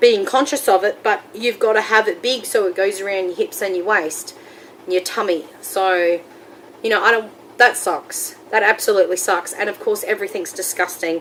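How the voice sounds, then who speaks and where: Over noticeable background noise, a woman with an Australian accent speaks at a moderate pace in a medium pitch with ordinary pitch variation. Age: 30s. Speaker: weight-loss surgery vlogger. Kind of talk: casual vlog monologue.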